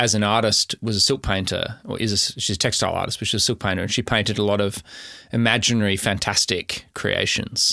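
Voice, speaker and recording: In an Australian accent, a man talks at a fairly quick pace with a fairly low pitch. His tone is bright and sharp, and his intonation fairly even. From South Australia, Adelaide Hills. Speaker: tech company founder and CEO. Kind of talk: interview.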